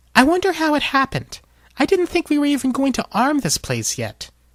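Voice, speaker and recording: As a put-on character voice, a man speaks at an extremely high pitch. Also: fairly quick pace. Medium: read story.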